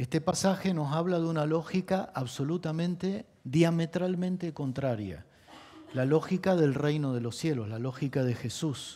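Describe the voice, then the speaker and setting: Speaking at a fairly slow pace, a man has a dark, mellow tone, a fairly high pitch and ordinary pitch variation. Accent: Argentine. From Argentina. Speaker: pastor. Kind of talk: sermon.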